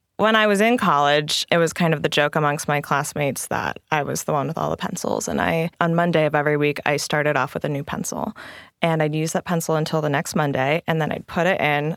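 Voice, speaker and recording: Very deep and low, a woman's voice with an American accent moves at a fairly quick pace with ordinary pitch variation, in a dry, close sound with no echo. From US Midwest, Southeast Ohio. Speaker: shop owner. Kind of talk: interview.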